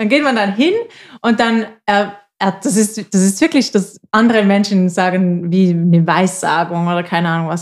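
Over a silent background in a very clean recording, a woman speaks at a medium pitch. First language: Swiss German (speaking German). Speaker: podcast co-host. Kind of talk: casual chat.

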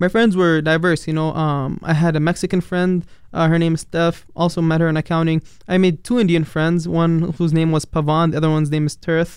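Speaking at a fairly quick pace with an Arabic accent, a man keeps a monotone, flat delivery at very even loudness. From Palestine, later New York and Dubai. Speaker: international college student. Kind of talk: casual interview. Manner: hesitant, with fillers.

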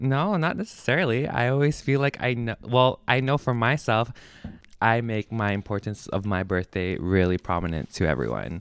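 An unremarkable speaking voice belonging to a man at medium pitch moves at a moderate pace with lively intonation, on a very clean recording with a silent background. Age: 20s. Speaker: podcast co-host. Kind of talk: casual chat. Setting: drinking wine while recording.

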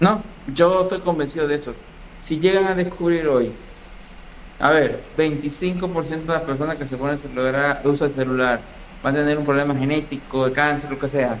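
A man with a fairly high pitch talks at a moderate pace. His intonation is fairly even, and the room echo is audible. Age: 40s. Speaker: electromechanical engineer. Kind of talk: casual interview chat.

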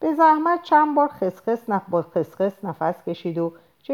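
Simple, plain reading aloud.

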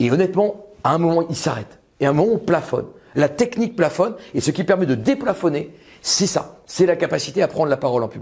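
The speaker moves at a fairly quick pace. The pitch swings very widely. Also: man, high pitch for a man. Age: 50s. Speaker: lawyer and public speaking author. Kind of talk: talk to an audience. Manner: animated.

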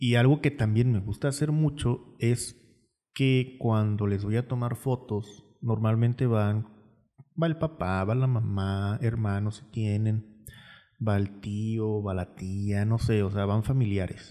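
On a very clean recording with a silent background, a man speaks at a very slow pace in a dark, mellow tone, his fairly low pitch showing ordinary variation. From Mexico, Tuxpan. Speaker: podcast host and photographer. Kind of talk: casual chat.

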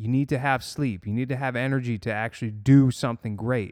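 A man at medium pitch talks at a fairly quick pace, recorded very cleanly against a silent background with a dry, close sound and no echo. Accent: American. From Massachusetts. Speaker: podcast guest. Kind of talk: casual interview. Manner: animated.

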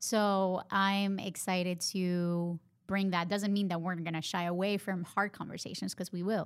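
A speaker with a Honduran accent uses fairly even intonation. The recording is very clean, with a silent background. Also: woman. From Honduras. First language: Spanish. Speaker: podcast co-host. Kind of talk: casual chat, podcast intro.

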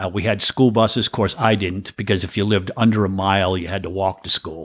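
A man talks fairly quickly, captured on a very clean recording with a silent background. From Massachusetts, US. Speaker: professional drummer. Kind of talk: casual interview chat. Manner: humorous, joking.

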